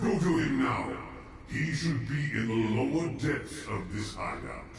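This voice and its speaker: Using a put-on character voice at medium pitch, a man speaks fairly slowly over clear background noise with a slight echo. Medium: video game. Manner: stern, commanding.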